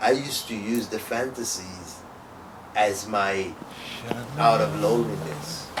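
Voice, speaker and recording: The intonation is lively, broken by long, frequent pauses. Noticeable background noise sits underneath. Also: man, fairly low pitch for a man. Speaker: performance poet and comedian. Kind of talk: casual conversation.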